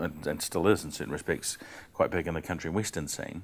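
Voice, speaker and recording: On a very clean recording with a silent background, a man talks with a New Zealand accent. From New Zealand, central North Island. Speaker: comedian. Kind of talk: casual chat. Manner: halting.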